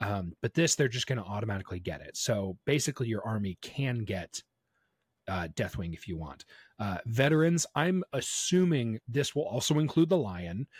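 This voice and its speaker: A man talks with a somewhat breathy voice. The recording is very clean, and the background is silent. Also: medium pitch for a man, moderate pace. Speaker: podcast host. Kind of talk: casual chat.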